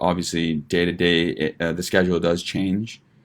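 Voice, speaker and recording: With a Western Canadian accent, a man talks fairly slowly in a very deep, low voice with monotone, flat intonation. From Vancouver, Canada. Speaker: medical student. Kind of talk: informal student presentation. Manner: casual, hesitant.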